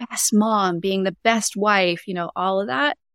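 A woman with a Canadian accent talks at a moderate pace in a plain, everyday voice, medium in pitch with ordinary pitch variation. The sound is dry and close, with no echo. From Canada. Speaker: Enneagram coach. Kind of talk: casual interview.

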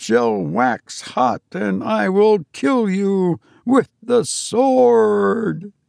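Bellowing loudly in a put-on character voice, a man swings his pitch very widely and drags at a very slow pace against a quiet background. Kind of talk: scriptural, sermonizing.

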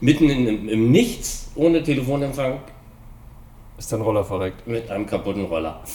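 A man's medium-pitched voice with long, frequent pauses. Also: lively intonation, moderate pace. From Hanover, northern Germany. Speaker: scooter mechanic. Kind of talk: casual chat. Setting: workshop.

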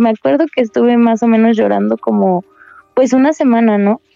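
Here is a woman with a plain, everyday voice. Her pitch sits fairly high, with ordinary pitch variation. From Querétaro, Mexico. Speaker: cancer patient. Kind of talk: testimony.

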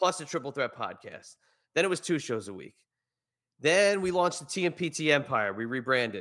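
Bright and sharp in tone with vocal fry, the voice moves at a fairly quick pace through very wide pitch swings. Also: man, fairly high pitch for a man. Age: 40s. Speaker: podcaster and media personality. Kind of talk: casual chat. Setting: remote from home basement studio.

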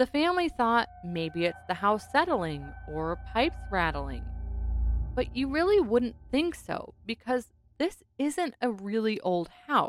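Over music in the background, a woman talks at a very slow pace. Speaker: paranormal podcast host. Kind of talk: true-crime/horror narration, storytelling a haunting. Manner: animated, with rhetorical asides.

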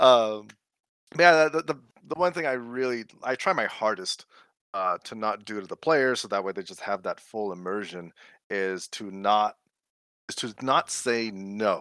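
A man with a plain, everyday voice talks at a fairly slow pace and medium pitch, with lively intonation and big swings in loudness. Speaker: tabletop player guest. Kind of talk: casual group chat.

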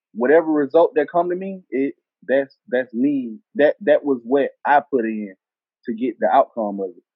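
With a Southern US accent, a man speaks at a moderate pace. His pitch is fairly high and his intonation lively. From US South, Selma, Alabama. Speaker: rapper. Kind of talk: casual interview.

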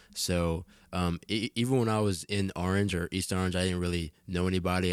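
A man with an American accent speaks in a very deep, low pitch with fairly even intonation. The recording is very clean, with a silent background. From New Jersey. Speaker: musician and event promoter. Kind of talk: casual chat.

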